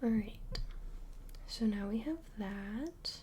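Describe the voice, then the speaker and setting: The speaker is soft-spoken and whispering. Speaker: ASMR creator. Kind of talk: ASMR craft tutorial, talking to camera. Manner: whispered, soft-spoken.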